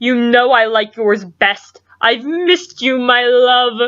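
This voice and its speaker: A soft-spoken woman's put-on character voice, high-pitched and fairly slow. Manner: soft, tender.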